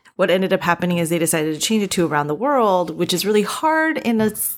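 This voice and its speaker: A woman has an unremarkable speaking voice with a fairly low pitch. She talks at a fairly quick pace with lively intonation. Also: very clean recording, silent background. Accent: American. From US East Coast. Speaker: TV writer and producer. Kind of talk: interview.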